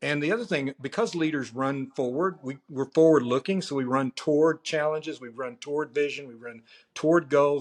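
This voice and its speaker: A man's normal speaking voice, fairly high for a man, at a moderate pace with ordinary pitch variation and hardly any pauses. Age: 60s. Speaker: pastor. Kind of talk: interview.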